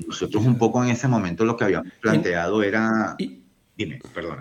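A man speaks at a moderate pace with a fairly low pitch and vocal fry. His intonation is lively. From Venezuela. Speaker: civil engineer. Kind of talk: interview. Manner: halting, many fillers.

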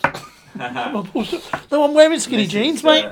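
Squeaky and extremely high-pitched, a man talks fairly slowly with lively intonation. Noticeable background noise runs underneath. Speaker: stand-up comedian, podcast guest. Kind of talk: casual, swearing banter.

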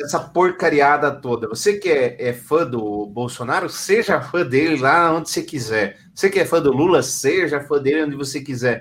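A man speaks with a fairly high pitch and lively intonation. His pace is moderate, with hardly any pauses. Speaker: podcast host. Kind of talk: casual chat. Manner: animated.

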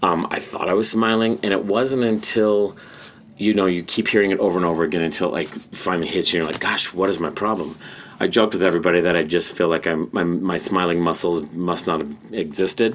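At a fairly quick pace, a man with a very deep, low voice talks with ordinary pitch variation. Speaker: former barista and postal worker. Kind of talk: casual chat. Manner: halting, with many fillers.

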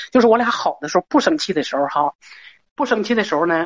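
A woman with a medium pitch, at a fairly quick pace. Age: 50s. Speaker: caller. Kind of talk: call-in advice show. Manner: halting.

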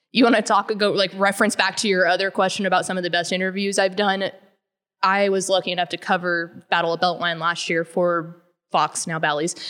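At a fairly quick pace, a woman of medium pitch talks with a Texan accent. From Texas, Llano. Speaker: sports magazine writer. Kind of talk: casual interview. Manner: animated.

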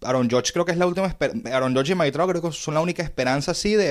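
A man talks with a Venezuelan accent. The recording is very clean, with a silent background. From Venezuela, Caracas. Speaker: podcast host. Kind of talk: casual chat.

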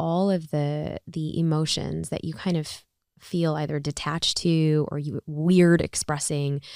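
A woman with an American accent, very deep and low in pitch, monotone and flat, dark and mellow in tone, at a fairly slow pace, in a dry, close sound with no echo. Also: very clean recording, silent background. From US Midwest, Chicago. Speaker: author. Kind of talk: casual chat.

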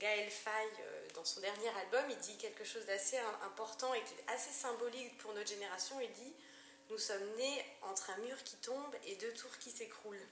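Very slow speech from a woman pitched fairly high, amid noticeable background noise and audible room echo. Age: 40s. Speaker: architect. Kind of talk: interview. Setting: at her home. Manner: halting, many hesitations.

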